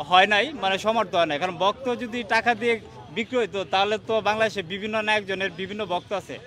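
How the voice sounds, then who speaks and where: A man speaks in a raised, projected voice at a high pitch with ordinary pitch variation. The sound is dry with no echo, and light background noise is present. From Bangladesh, Kishoreganj; Bangladesh. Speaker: fan at a court rally. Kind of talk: street interview. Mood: earnest, defensive of idol. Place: street. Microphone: handheld.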